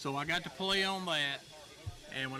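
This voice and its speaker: Music plays in the background as a high-pitched man with a Southern US accent speaks with lively intonation. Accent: Southern American. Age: 60s. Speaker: railroadiana collector. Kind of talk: interview.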